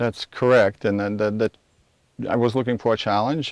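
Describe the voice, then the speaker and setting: With a Lithuanian accent, the speaker delivers flat, monotone intonation in a dry, close sound with no echo and a quiet background. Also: man. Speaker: vacation rental owner. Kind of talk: TV interview. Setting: outdoors. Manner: halting.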